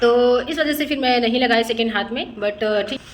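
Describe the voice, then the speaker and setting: Noticeable background noise is present. A woman talks over it at a fairly high pitch. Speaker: vlogger. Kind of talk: casual vlog chat.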